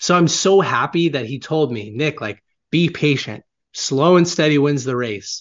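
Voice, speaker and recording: At a fairly slow pace, a man with a fairly high pitch and ordinary pitch variation speaks in a plain, everyday voice. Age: 20s. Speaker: author and marketing agency founder. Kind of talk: interview.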